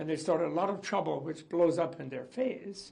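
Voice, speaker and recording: Noticeable background noise and audible room echo surround a man speaking at a moderate pace with a fairly high pitch and ordinary pitch variation. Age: 80s+. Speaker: interviewee commenting on a political leader. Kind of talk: interview.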